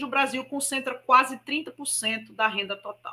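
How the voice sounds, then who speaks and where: The voice is raised and projected with a bright, sharp tone. It keeps a moderate pace. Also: woman. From Brazil, Maceió, Alagoas (Northeast). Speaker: spiritist speaker. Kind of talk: public lecture.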